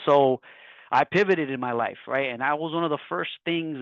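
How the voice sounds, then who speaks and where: At a moderate pace, a man speaks with an American accent, a fairly high pitch and ordinary pitch variation. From Miami, Florida. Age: 30s. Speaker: entrepreneur, health insurance agent. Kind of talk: webinar talk. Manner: animated.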